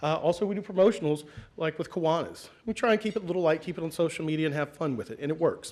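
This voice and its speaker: A man's fairly high voice with ordinary pitch variation. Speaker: school communications officer. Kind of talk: conference talk. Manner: fast; energetic.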